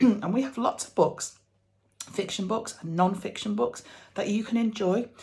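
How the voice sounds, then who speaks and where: Somewhat breathy, a woman speaks in an animated tone at a moderate pace. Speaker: children's book sales representative. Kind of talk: school assembly talk via video. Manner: animated, child-directed.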